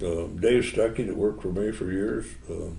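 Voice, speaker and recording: Over audible room echo, a man talks at a moderate pace in a fairly low pitch. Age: 80s+. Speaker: custom car builder. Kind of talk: interview. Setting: model car show.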